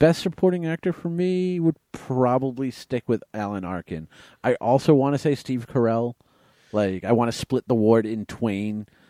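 Lively intonation from a man with a dark, mellow tone at a moderate pace, in a dry, close sound with no echo and a very clean recording with a silent background. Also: medium pitch for a man. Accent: American. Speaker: podcast co-host. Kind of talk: casual chat.

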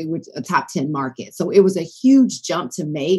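A woman speaks with an American accent in an unremarkable speaking voice. Her pitch is fairly low and her pace moderate. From US South, Decatur near Atlanta, Georgia. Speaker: broadcast journalist. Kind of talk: interview conversation.

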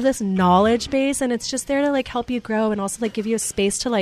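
A woman's fairly high voice at a very fast pace. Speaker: restaurant owner. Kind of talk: interview.

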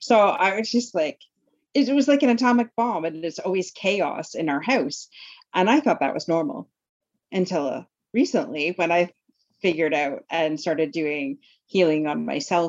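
This woman's pitch is fairly low. She moves at a moderate pace, and her pitch swings very widely. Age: 40s. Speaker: life coach. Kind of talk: interview.

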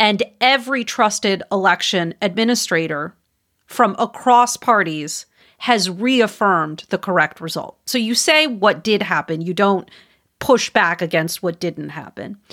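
A woman with an American accent and medium pitch speaks at a fairly slow pace with lively intonation, in a normal speaking voice, on a very clean recording with a silent background and a dry, close sound with no echo. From Wisconsin, US Midwest. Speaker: communications researcher and campaign advisor. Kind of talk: interview.

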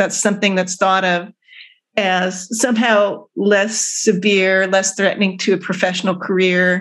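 A woman with an American accent has a normal speaking voice at medium pitch, talking at a moderate pace over a quiet background. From US West Coast, Oakland and Berkeley, California. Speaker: psychiatrist and anthropology professor. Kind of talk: interview.

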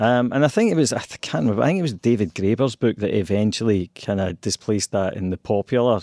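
A man with a Scottish accent talks at a fairly quick pace in a dark, mellow tone. The sound is dry and close with no echo, on a very clean recording with a silent background.

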